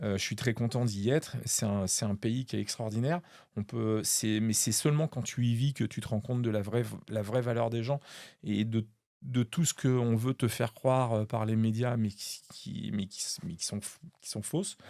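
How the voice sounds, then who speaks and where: The man has a medium pitch and a dark, mellow tone, with ordinary pitch variation. He talks at a moderate pace in a very clean recording with a silent background. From western France, La Rochelle. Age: 50s. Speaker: magician. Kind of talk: interview. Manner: halting, many fillers.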